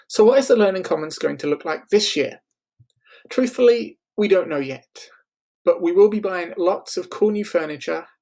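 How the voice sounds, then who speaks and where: A high-pitched man with a dark, mellow tone, lively intonation and a moderate pace. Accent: slight English. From England. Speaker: school librarian. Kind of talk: scripted narration.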